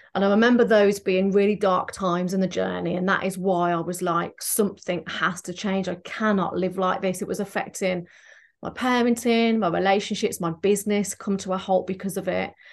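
A woman with a medium pitch speaks at a fairly quick pace in an English accent. Her intonation is monotone and flat, and the background is quiet. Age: 40s. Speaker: transformational therapist. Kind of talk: casual chat.

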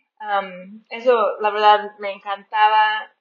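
A woman talks at a fairly slow pace in an American accent. Her pitch is fairly high. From rural northern US. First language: English (speaking Spanish). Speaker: missionary podcaster. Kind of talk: casual chat. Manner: halting.

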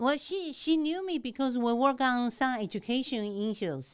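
On a very clean recording with a silent background, a woman with a Taiwanese accent speaks at a high pitch and a moderate pace with lively intonation. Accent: non-native English, Taiwanese. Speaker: state legislator. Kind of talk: interview. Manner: animated.

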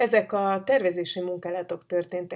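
A woman talks at a moderate pace with a fairly low pitch. The recording is very clean, with a silent background. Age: 40s. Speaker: writer and podcast host. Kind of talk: personal monologue. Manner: halting.

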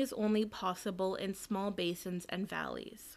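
In a very clean recording with a silent background, a woman with an unremarkable speaking voice talks at a moderate pace, at medium pitch, with ordinary pitch variation. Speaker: museum collections assistant. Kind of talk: scripted museum tour narration, reading factual information aloud. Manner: formal, even, lecture-like and informative.

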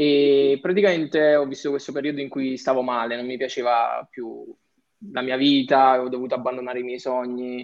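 A man with a medium pitch talks at a moderate pace with fairly even intonation, in an ordinary speaking voice. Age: young. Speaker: digital entrepreneur and content creator. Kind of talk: casual chat.

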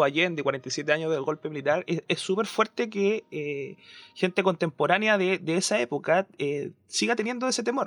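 A man is speaking. The background is quiet. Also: dry, close sound with no echo. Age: young. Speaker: podcast co-host. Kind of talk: panel discussion. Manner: halting.

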